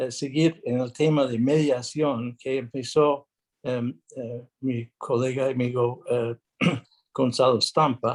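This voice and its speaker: With a non-native accent, a man speaks at a very slow pace and medium pitch, his intonation monotone and flat, the sound dry and close with no echo. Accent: non-native Spanish speaker. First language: English (speaking Spanish). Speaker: international arbitrator and lawyer. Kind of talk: conference talk. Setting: video call without video. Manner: halting, many fillers.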